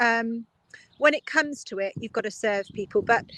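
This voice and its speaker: Bright and sharp in tone, a woman speaks at a fairly high pitch with a southern English accent. The sound is dry and close with no echo. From Oxfordshire, England. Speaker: politician, local councillor. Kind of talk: interview answer.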